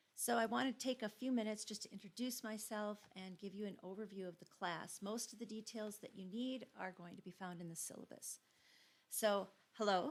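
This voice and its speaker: A woman's medium-pitched voice in a Minnesotan accent, fairly quick, with ordinary pitch variation and big swings in loudness. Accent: Minnesota. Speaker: GIS instructor. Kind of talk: course introduction lecture. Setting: recorded video. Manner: casual, informal with fillers.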